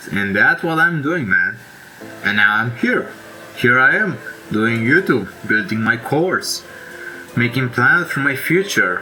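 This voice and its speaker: Music plays behind a man with a Romanian accent who speaks in a medium pitch with lively intonation. His pace is fairly slow, with long, frequent pauses. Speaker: self-help YouTuber. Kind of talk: casual monologue. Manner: halting; informal.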